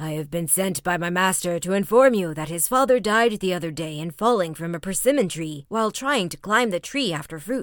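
A female-sounding put-on character voice speaks at a middle pitch. The pace is fairly quick, with hardly any pauses. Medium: read story. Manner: controlled, grave.

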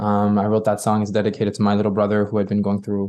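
In a Quebec accent, a man speaks with a dark, mellow tone. The background is quiet. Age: 20s. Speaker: pop singer-songwriter. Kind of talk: interview.

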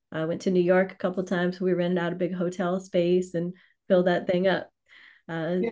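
A woman's medium-pitched, dark, mellow voice with a Louisiana accent, fairly quick and flat in intonation, over a quiet background. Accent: Louisiana Southern US. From US South, Louisiana (New Orleans). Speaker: financial services trainer and course creator. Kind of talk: interview.

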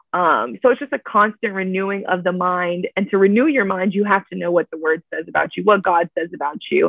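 A woman with an American accent speaks at a medium pitch in a plain, everyday voice. Her fairly quick delivery has lively intonation and hardly any pauses. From Miami, Florida. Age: 20s. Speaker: church events coordinator. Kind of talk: casual interview.

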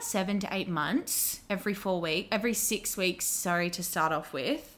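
Using an Australian accent, a woman at medium pitch talks at a fairly quick pace with ordinary pitch variation in a very clean recording with a silent background. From Australia, Wollongong. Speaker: beauty and dermal therapist. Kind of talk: casual chat.

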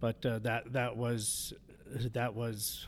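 Speaking in a monotone with flat intonation, a man with a Canadian accent uses a medium pitch. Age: 50s. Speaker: addiction recovery housing director. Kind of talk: interview, personal testimony. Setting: studio.

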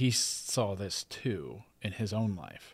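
In a very clean recording with a silent background, a man with an unremarkable speaking voice talks at a fairly low pitch with fairly even intonation. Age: 40s. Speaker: podcast host. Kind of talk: casual interview.

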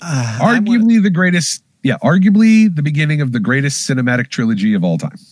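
A man's somewhat breathy voice, fairly high in pitch, with very wide pitch swings, a very fast pace and hardly any pauses. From rural area. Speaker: film podcast co-host. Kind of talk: casual chat.

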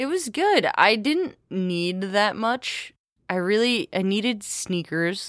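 In a very clean recording with a silent background, a woman with a fairly high pitch speaks very slowly with lively intonation. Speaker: podcast host. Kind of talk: casual chat.

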